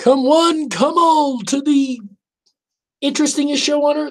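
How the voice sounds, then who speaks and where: The voice is a put-on character voice with a high pitch. It moves at a moderate pace. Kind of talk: radio announcer.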